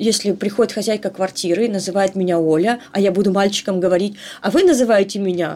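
Speaking at a moderate pace, a woman with a medium-pitched voice shows ordinary pitch variation. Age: 40s. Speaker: human rights activist. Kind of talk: interview testimony. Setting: online call.

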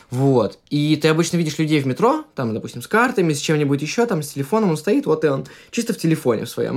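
This man talks at a very fast pace. His voice is fairly high, with lively intonation. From Russia. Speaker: podcast guest, musician and painter. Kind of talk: casual interview chat.

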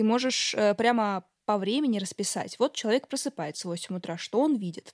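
Recorded very cleanly against a silent background with a dry, close sound and no echo, a woman uses a plain, everyday voice, fairly high in pitch, with lively intonation at a moderate pace. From Samara region, Russia (Tolyatti). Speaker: podcast host. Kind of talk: casual chat.

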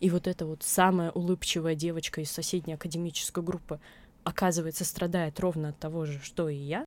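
A woman speaks at a fairly quick pace in a fairly low, flat monotone, recorded very cleanly against a silent background. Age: 20s. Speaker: blogger, author of a mental health channel. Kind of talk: interview, casual chat. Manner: halting, many fillers.

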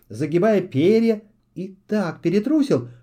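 Lively intonation marks a natural reading voice heard against a quiet background.

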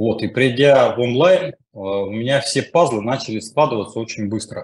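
The man's voice is somewhat breathy. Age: 40s. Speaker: coaching school student. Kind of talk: testimony. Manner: halting.

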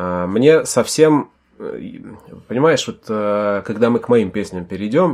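A man talks in an ordinary speaking voice, with ordinary pitch variation. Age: 30s. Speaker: podcast host, father discussing rap. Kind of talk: casual chat.

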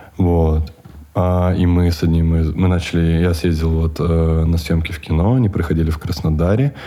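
A man with a very deep, low voice talks at a moderate pace with fairly even intonation. Noticeable background noise sits behind him. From Siberia, Russia (Chita). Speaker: coffee shop owner. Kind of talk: casual interview. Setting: studio.

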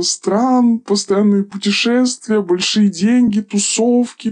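The speaker talks at a very slow pace with fairly even intonation. The sound is dry and close, with no echo. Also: woman. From small town in Russia. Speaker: former escort worker. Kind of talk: interview testimony. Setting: studio.

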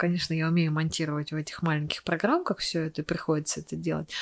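Delivered at a very fast pace, the speech has a dry, close sound with no echo and a very clean recording with a silent background. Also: woman. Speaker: cosmetology clinic owner. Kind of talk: casual chat.

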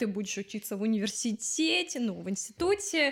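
A woman speaks at a moderate speed in a high pitch that swings very widely. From Ukraine, Odesa. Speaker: fashion designer. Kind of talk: interview.

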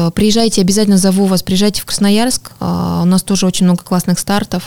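Noticeable background noise runs through the clip. The intonation is fairly even. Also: woman. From Norilsk, Russian Far North. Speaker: amateur runner and running community ambassador. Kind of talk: podcast interview. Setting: studio.

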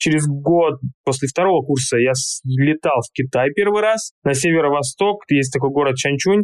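A man speaks in a normal speaking voice, fairly high in pitch for a man, with lively intonation at a moderate pace, the sound dry and close with no echo. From Siberia, Russia. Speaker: China market expert, company founder. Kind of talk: interview.

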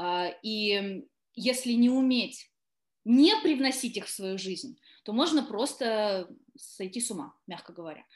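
A woman's fairly high voice at a very slow pace, with lively intonation, big swings in loudness, and long, frequent pauses. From southern Russia, Taganrog. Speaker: actress. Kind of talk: interview.

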